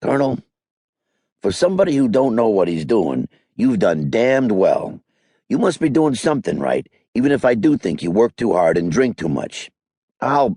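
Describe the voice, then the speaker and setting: A man in a put-on character voice speaks at a moderate pace and medium pitch, sounding raspy, with very wide pitch swings and long, frequent pauses. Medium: read story. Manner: gruff, plainspoken.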